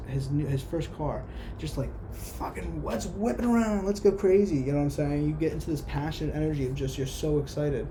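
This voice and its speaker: Over noticeable background noise and audible room echo, a woman speaks at a fairly quick pace. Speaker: tarot reader. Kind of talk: tarot reading monologue. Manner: halting, stuttering; casual, conversational.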